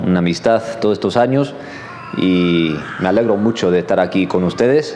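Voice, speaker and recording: With audible room echo and noticeable background noise, a man speaks at a fairly low pitch with lively intonation. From Los Angeles, US. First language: English (speaking Spanish). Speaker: seminary professor. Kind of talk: sermon. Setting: church. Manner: hesitant, many fillers.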